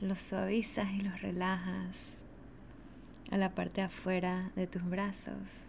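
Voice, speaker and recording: A woman speaks at a very slow pace with a soothing, calm tone, a somewhat breathy medium-pitched voice, monotone, flat intonation and very even loudness. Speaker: podcast host and energy teacher. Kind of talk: guided meditation (yoga nidra), spoken slowly to the listener. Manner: slow, soothing, calm, repetitive, with long pauses; warm, gentle, intimate.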